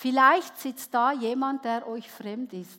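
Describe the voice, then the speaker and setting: A woman's high-pitched voice at a very slow pace. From Switzerland. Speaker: preacher. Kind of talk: sermon. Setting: church with audience.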